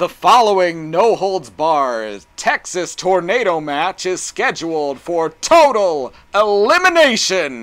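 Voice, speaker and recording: A man bellows in a put-on character voice, pitched high with very wide swings. He talks at a fairly slow pace with hardly any pauses. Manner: bellowing.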